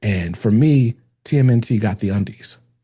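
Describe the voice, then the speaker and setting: A man speaks with a dark, mellow tone and a somewhat breathy quality. His pitch is fairly low, with ordinary pitch variation. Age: 30s. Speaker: podcast host. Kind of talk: casual interview chat.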